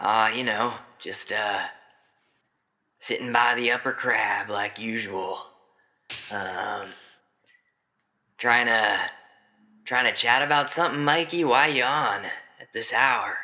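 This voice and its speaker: A raspy, put-on character voice moves at a fairly slow pace with long, frequent pauses. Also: man, medium pitch for a man. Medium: actual play. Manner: laid-back, folksy.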